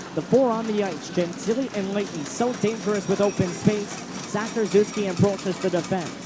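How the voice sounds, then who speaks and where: A man with a high pitch talks at a fairly quick pace amid noticeable background noise. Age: 20s. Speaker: hockey play-by-play broadcaster. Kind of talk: live commentary. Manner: fast; energetic.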